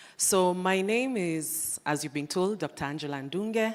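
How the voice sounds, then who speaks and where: A woman speaks with lively intonation at a moderate pace. The recording is very clean, with a silent background. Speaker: lecturer and panel moderator. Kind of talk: fireside chat moderation. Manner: loud.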